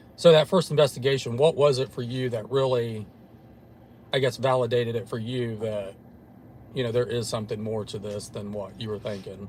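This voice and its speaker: A man with an American accent talks at a fairly quick pace in a somewhat breathy, medium-pitched voice, with ordinary pitch variation and big swings in loudness. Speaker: paranormal investigator show host. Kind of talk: casual chat.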